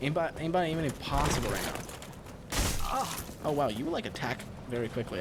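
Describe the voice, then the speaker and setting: With an American accent, a man talks at a very fast pace over noticeable background noise, with audible room echo around him. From Wisconsin. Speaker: gaming streamer. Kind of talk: live gameplay stream chat. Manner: halting, repetitive.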